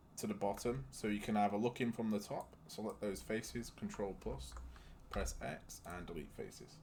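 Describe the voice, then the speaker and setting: A man's fairly low voice over music in the background. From UK. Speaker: 3D modelling tutorial creator. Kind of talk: software tutorial. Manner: casual, with fillers.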